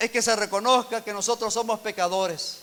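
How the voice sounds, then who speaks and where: At a fairly slow pace, a man speaks with an extremely high pitch. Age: 60s. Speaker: pastor. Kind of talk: sermon.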